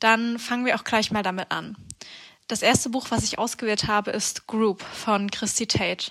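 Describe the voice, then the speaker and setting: Her tone is bright and sharp, her pitch fairly high. The woman keeps a moderate pace with monotone, flat intonation. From Halle, Germany. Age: 20s. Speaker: psychology student. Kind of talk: prepared book recommendations.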